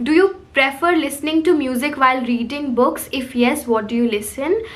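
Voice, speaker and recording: Against noticeable background noise and audible room echo, a woman speaks at a high pitch. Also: ordinary pitch variation, moderate pace. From India, Lucknow then Kolkata. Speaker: book youtuber. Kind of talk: casual Q&A chat.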